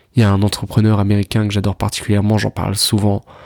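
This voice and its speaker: The delivery is very fast and monotone, with flat intonation and a dry, close sound with no echo. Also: man. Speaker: self-improvement podcaster. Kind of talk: casual monologue. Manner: halting, repeats words.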